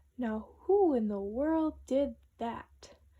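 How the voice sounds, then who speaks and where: Using a put-on character voice, a woman speaks high in pitch with lively intonation. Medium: read story.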